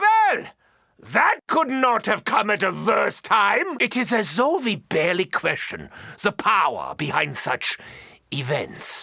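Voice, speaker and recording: A put-on character voice with a German accent comes across in a theatrical tone. The pace is fairly slow. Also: man, high pitch for a man. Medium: video game. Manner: theatrical, sardonic.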